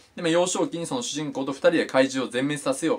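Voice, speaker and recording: At a fairly quick pace, a man talks with a fairly high pitch, vocal fry and very wide pitch swings. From Japan. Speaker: YouTuber reviewing manga. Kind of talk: casual monologue review. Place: home room. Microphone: phone near.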